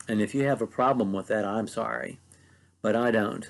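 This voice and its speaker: With an American accent, a man talks at a moderate pace and fairly low pitch against a quiet background. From US, mid-Ohio Valley. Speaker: preacher. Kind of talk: bible teaching talk.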